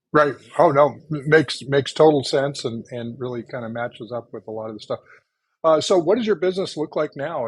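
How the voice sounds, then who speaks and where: Speaking in a plain, everyday voice, a man keeps a moderate pace with ordinary pitch variation. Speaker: podcast host, real estate company founder and CEO. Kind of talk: podcast interview host talk.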